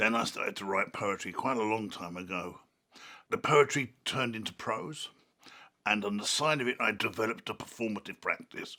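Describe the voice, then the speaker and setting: The speaker has a London accent. The pace is fairly quick. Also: man, medium pitch for a man, ordinary pitch variation. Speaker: artist and author. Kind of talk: reflective interview monologue. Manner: halting.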